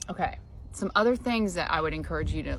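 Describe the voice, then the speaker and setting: There is audible room echo as a woman speaks. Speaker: elder law attorney. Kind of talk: informal explainer talk. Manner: conversational, many filler ums.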